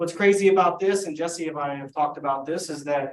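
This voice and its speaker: This man's voice sits at a fairly high pitch. His intonation is fairly even. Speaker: legal presenter at commission board meeting. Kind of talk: briefing presentation at board meeting. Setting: board meeting, livestreamed. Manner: fast.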